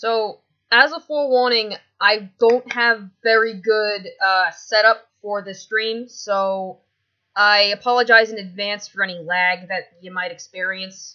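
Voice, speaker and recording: A woman's plain, everyday voice at a medium pitch, fairly slow, with fairly even intonation and big swings in loudness. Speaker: streamer reading entries aloud. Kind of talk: casual live stream chat. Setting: live stream. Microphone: poor stream setup, possible lag.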